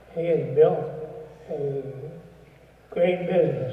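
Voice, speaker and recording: Fairly slow speech from a man in audible room echo. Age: 80s+. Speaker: retired businessman, presenter. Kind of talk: induction speech. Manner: halting.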